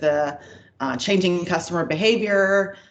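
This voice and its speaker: Audible room echo carries a voice with an American accent speaking at a moderate pace. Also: woman. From United States. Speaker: payments executive. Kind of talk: interview.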